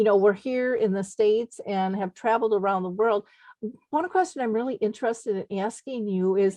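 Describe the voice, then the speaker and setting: Upper Midwest accent, a woman with a fairly high pitch and a dark, mellow tone. She moves at a fairly quick pace with ordinary pitch variation. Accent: Upper Midwest American. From Minnesota, US. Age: 60s. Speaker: radio host. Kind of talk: interview. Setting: radio show.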